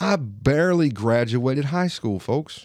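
A man speaks with an Alabama accent, his pitch swinging very widely. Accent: Southern US, Alabama twang. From Alabama, US South. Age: 30s. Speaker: podcast host. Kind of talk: solo monologue podcast, personal and casual.

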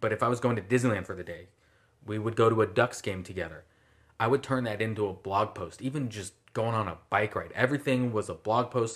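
A man with an American accent talks at a fairly quick pace in a normal speaking voice, fairly low in pitch and fairly even in intonation, on a very clean recording with a silent background. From Southern California. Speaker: sports photographer. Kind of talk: casual interview.

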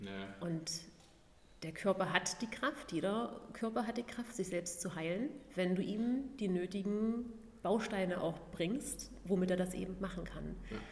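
Her pace is fairly slow. This woman's voice sits at a medium pitch and varies in an ordinary way. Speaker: vegan food blogger and former fitness trainer. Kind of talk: casual interview.

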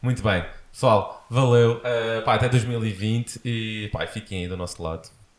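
A man with a European Portuguese accent, medium pitch, fairly even intonation and a fairly slow pace. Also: very clean recording, silent background. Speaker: podcast host. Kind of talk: casual interview. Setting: home studio, sitting on sofa.

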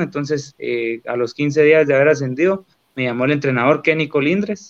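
This is a plain, everyday voice moving at a fairly quick pace with ordinary pitch variation. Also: man. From Guatemala, Boca del Monte. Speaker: professional footballer. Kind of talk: interview.

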